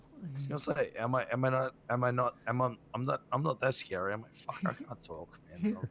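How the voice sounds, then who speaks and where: With lively intonation and a fairly quick pace, a man's voice comes through noticeable background noise. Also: medium pitch for a man. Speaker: roleplay gamer. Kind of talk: in-character roleplay chat.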